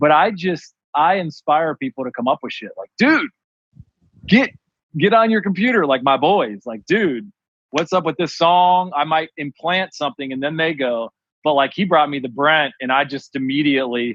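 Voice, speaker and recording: At a moderate pace, a man with an Ohio accent speaks in a fairly high, animated voice with lively intonation. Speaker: clothing designer. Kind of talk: casual chat.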